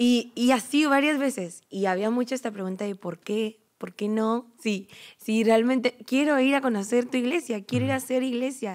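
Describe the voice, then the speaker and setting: A woman speaks with a high pitch and ordinary pitch variation. The background is quiet. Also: moderate pace, hardly any pauses. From Mexico, Uruapan, Michoacán; Michoacán, Mexico. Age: 20s. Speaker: program graduate, church volunteer; podcast guest. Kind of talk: casual chat. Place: hall. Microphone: studio mic.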